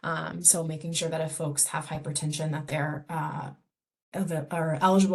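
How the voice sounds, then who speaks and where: Her voice is somewhat breathy. The woman keeps a fairly even intonation. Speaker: community health program director. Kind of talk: presentation. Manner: fast.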